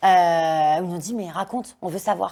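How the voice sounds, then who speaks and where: A woman speaks at a very slow pace. Her medium-pitched voice has a dark, mellow tone. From France, Lyon suburbs. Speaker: dancer and activist against forced marriage. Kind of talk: interview testimony. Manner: loud.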